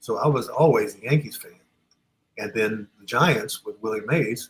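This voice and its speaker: Somewhat breathy, the voice moves at a fairly slow pace. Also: man. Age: 70s. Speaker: sports artist. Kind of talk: casual chat.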